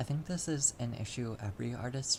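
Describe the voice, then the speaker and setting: The speaker is soft-spoken and talks at a fairly slow pace. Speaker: artist vlogger. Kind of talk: casual chat. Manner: halting. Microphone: audio issues, quiet.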